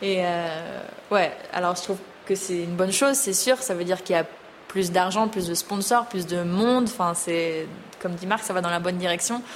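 Noticeable background noise sits behind a woman speaking at medium pitch. Her pace is moderate and her pitch varies in an ordinary way. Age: 30s. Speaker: show jumping rider. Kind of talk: interview. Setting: on location at a stable.

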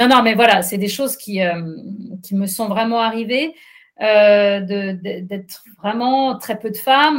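A woman with a fairly high pitch and ordinary pitch variation speaks at a very slow pace. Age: 50s. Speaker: journalist and trail runner. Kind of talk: interview. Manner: hesitant, many fillers.

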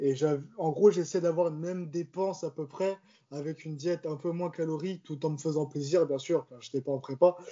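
This man has an ordinary speaking voice, pitched fairly high, and he talks at a fairly quick pace. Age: 20s. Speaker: amateur bodybuilder. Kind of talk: casual chat.

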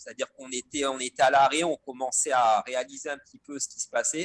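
The man's voice sits at a medium pitch, moves at a moderate pace with ordinary pitch variation, and sounds dry and close with no echo. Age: 50s. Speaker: mountain professional and ultra trail runner. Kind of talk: casual interview. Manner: hesitant, many fillers.

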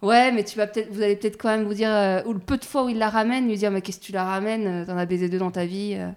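A woman at a very fast pace, hardly any pauses, fairly even intonation. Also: medium pitch for a woman. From rural France, small village. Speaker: podcast host. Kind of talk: casual interview. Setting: at the guest's home.

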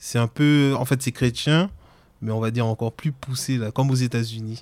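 A man with a slight Antillean accent speaks at a moderate pace, his intonation fairly even. The recording is very clean, with a silent background. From French Antilles. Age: 30s. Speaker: interviewee sharing personal story. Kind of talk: personal testimony.

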